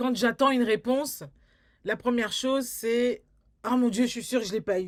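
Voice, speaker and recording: A woman's fairly high voice in a very clean recording over a silent background. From France, Paris. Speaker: filmmaker and community artist. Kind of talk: interview. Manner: halting, many repetitions.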